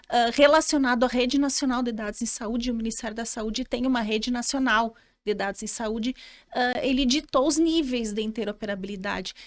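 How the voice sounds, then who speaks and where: A high-pitched woman with a southern Brazilian accent, fairly quick pace and ordinary pitch variation, in a very clean recording with a silent background. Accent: gaúcho. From Rio Grande do Sul, southern Brazil. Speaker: lawyer in health tech. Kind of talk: podcast interview. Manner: halting, many repetitions and fillers.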